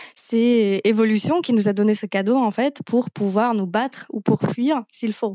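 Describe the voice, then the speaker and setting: A woman speaks at a fairly slow pace with hardly any pauses and ordinary pitch variation. Her tone is dark and mellow, and the sound is dry and close with no echo. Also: fairly high pitch for a woman. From Slovakia. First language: Slovak (speaking French). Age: young. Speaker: nutrition therapist. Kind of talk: podcast interview.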